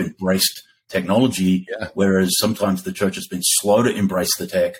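In a monotone, flat delivery, a man speaks with a fairly low pitch. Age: 50s. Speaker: podcast co-host at a church tech company. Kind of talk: casual chat.

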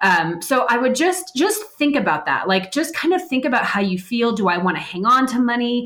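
A woman speaks at a fairly quick pace and fairly high pitch. Hers is a plain, everyday voice. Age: 30s. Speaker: financial advisor. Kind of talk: interview.

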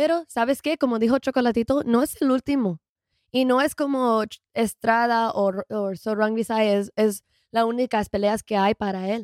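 In a very clean recording with a silent background and a dry, close sound with no echo, a woman with a non-native accent speaks at a fairly high pitch and fairly slow pace with ordinary pitch variation. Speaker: boxing YouTuber. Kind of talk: casual chat. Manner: halting.

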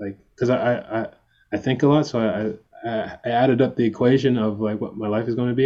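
A man speaks in a plain, everyday voice with a Canadian accent. His pitch is medium and his intonation fairly even. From Canada. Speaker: pop singer. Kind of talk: casual interview. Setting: physiotherapy clinic, remote call.

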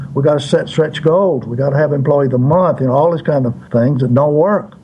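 A man is speaking. Noticeable noise can be heard behind him. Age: 80s+. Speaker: author and consultant. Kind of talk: interview answers.

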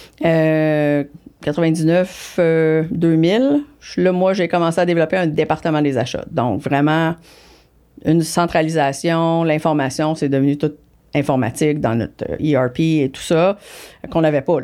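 In a Quebec accent, a woman speaks very slowly with a very deep, low pitch and ordinary pitch variation on a very clean recording with a silent background. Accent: Québécois French. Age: 50s. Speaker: business executive. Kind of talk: interview. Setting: studio.

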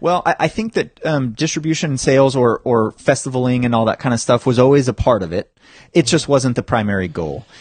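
A normal speaking voice from a man, medium-pitched, at a fairly quick pace with lively intonation, dry and close with no echo. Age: 30s. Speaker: filmmaker. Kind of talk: casual chat.

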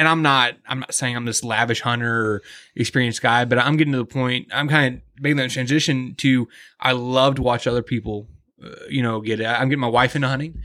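In an American accent, a man speaks at a fairly quick pace with a medium pitch, a bright, sharp tone and fairly even intonation, on a very clean recording with a silent background. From US Midwest, Kansas City. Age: 30s. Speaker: hunting podcast host. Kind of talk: casual chat. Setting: hunting lodge.

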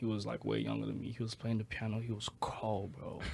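A man talks in a fairly low pitch. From Nigeria, Lagos. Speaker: musician. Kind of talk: casual chat. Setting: studio.

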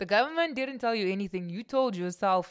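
A woman's animated voice at a medium pitch, with very wide pitch swings. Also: very clean recording, silent background. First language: not English. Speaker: podcast host. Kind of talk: solo podcast monologue.

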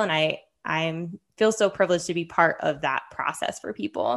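A woman with an American accent talks in a plain, everyday voice, with lively intonation at a moderate pace over a quiet background. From Henderson, Nevada, US. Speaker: podcast co-host, physical therapist. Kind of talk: casual chat.

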